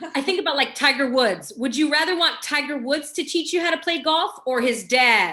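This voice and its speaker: Raising and projecting her high-pitched, bright, sharp voice, a woman speaks at a moderate pace with lively intonation. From Los Angeles, California. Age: 40s. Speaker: mindset coach and speaker. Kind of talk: casual interview chat. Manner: animated.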